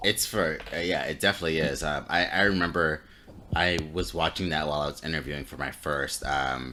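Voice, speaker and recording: Speaking at a fairly quick pace, a man uses a very deep, low pitch with ordinary pitch variation, vocal fry, and a bright, sharp tone. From Florida. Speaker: podcast co-host. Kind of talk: casual chat. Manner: halting.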